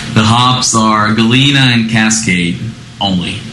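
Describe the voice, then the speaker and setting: Over noticeable background noise, a man with a medium pitch speaks with fairly even intonation. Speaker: brewer. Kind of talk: interview answers. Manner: hesitant, many fillers.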